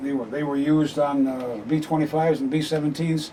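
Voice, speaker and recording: A fairly high-pitched man with fairly even intonation over noticeable background noise. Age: 70s. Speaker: amateur radio operator. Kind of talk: equipment walkthrough; radio contact. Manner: halting.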